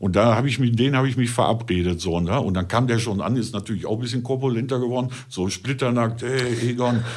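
A man with a Ruhr accent talks at a very fast pace with hardly any pauses, medium pitch and ordinary pitch variation, and room echo is audible. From Ruhr area, Germany. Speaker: adult film performer. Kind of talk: casual chat.

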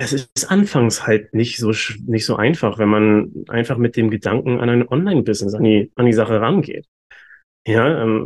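A man with an ordinary speaking voice talks at a moderate pace and medium pitch. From Germany, Hamburg. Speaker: human design coach. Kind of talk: interview. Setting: video call.

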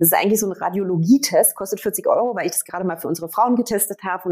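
A medium-pitched woman with ordinary pitch variation. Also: very clean recording, silent background. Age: 40s. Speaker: startup founder. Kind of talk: interview.

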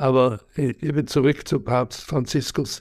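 Very slow pace marks this man's speech. He talks at a medium pitch with fairly even intonation. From Switzerland. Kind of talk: interview. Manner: halting, many hesitations.

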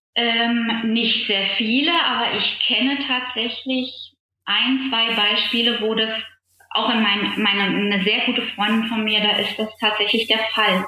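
Very slowly and at very even loudness, a woman speaks with fairly high pitch as room echo is audible. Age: 40s. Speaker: coaching client, health insurance advisor. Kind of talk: personal coaching conversation. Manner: hesitant, many fillers.

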